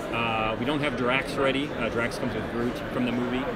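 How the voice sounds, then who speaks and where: Music plays in the background. A man speaks over it at a fairly quick pace. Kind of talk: interview answer, product walkthrough. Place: hall. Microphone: phone near.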